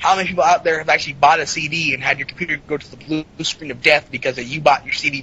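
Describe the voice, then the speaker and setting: Over noticeable background noise, a man with an American accent talks at a very fast pace in a fairly high pitch. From US South, Florida near the Georgia border. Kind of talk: casual chat.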